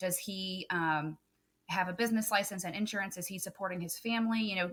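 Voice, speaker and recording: The speaker has a slight Southern US accent and a fairly quick pace. The intonation is fairly even. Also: woman, medium pitch for a woman. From Texas. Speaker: photographer and business coach. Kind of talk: podcast interview.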